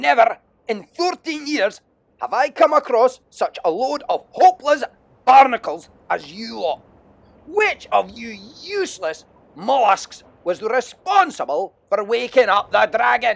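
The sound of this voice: A man's put-on character voice, extremely high in pitch, with vocal fry, big pitch swings and a fairly slow pace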